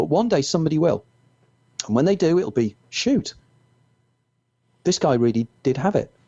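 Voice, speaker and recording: With a Merseyside accent, a man talks at a fairly quick pace in a dark, mellow tone, using lively intonation and very even loudness, leaving long, frequent pauses, in a dry, close recording with no echo. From northern England, Wirral near Liverpool. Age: 60s. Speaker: author. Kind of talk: interview.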